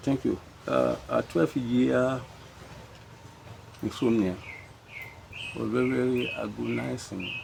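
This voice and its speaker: A man at a very slow pace, with long, frequent pauses, over noticeable background noise. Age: 80s+. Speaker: retired civil servant. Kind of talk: interview answer. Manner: hesitant.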